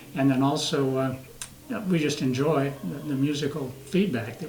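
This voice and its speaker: This man talks at a moderate pace with an American accent. Room echo is audible, and there is noticeable background noise. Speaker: retired Air Force veteran, singer. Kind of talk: interview. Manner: halting.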